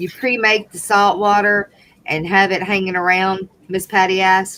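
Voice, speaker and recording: A woman speaks in a Southern accent at a moderate pace. Her medium pitch stays monotone and flat. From US South, Louisiana. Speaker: livestream co-host. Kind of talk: live stream chat. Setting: live stream.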